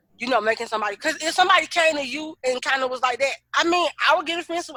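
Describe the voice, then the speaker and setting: A raised, projected voice with a bright, sharp tone at a very fast pace, the sound dry and close with no echo. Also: woman. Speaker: podcast co-host. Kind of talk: casual chat. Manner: loud when excited.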